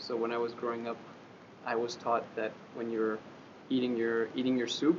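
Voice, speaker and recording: With a French accent, a man of medium pitch speaks at a moderate pace in a monotone, flat intonation. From France. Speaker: interviewee, foreign student in Japan. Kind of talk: interview answer. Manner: hesitant, many fillers.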